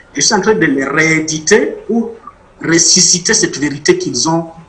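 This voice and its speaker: A man's high-pitched voice at a fairly slow pace, with ordinary pitch variation and noticeable background noise. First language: Mashi (speaking French). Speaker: author and witness. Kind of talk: interview testimony.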